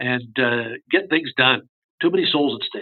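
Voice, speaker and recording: Here is a man with a plain, everyday voice and a fairly high pitch. His intonation is lively and his pace moderate. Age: 60s. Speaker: university chief financial officer. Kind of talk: interview.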